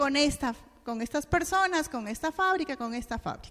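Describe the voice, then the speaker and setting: A woman's high pitch with lively intonation. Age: 50s. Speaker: education specialist, lecturer. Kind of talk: lecture.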